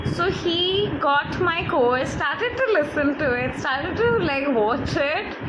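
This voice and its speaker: With a Bengali accent and a high pitch, a woman speaks at a fairly slow pace with hardly any pauses, her pitch swinging very widely while her loudness stays very even, amid noticeable background noise and audible room echo. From India. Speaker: life coach. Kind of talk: live online talk. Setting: livestream from phone. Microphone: phone mic.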